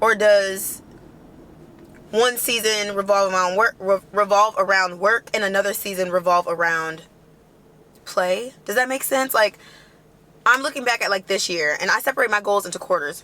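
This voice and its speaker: An animated, bright, sharp tone at a moderate pace, with ordinary pitch variation and long, frequent pauses. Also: woman, medium pitch for a woman. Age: 20s. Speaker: lifestyle vlogger and entrepreneur. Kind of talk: casual chat. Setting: in a car.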